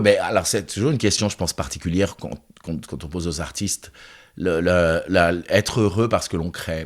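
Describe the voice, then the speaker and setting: With a very deep, low pitch and ordinary pitch variation, a man speaks at a moderate pace on a very clean recording with a silent background. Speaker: choreographer and festival director. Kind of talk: interview conversation. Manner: halting, many repetitions.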